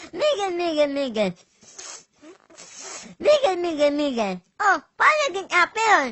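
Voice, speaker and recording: This put-on character voice is nasal and extremely high-pitched, mumbling at a fairly slow pace with long, frequent pauses. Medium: fan dub. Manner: mumbling, mispronouncing words.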